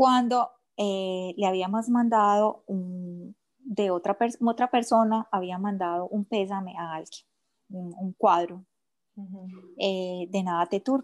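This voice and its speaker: Speaking very slowly with an Antioquian accent, a woman keeps her intonation fairly even while her loudness swings widely, in a dry, close sound with no echo. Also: medium pitch for a woman. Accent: Colombian paisa Spanish. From Colombia, Medellín. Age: 40s. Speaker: entrepreneur. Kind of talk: interview.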